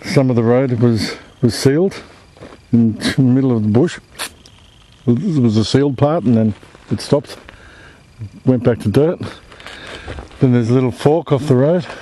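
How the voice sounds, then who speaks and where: Moderate pace with long, frequent pauses, a dry sound with no echo, and light background noise. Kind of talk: casual vlog narration. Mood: curious, slightly uneasy. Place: open country. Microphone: phone near.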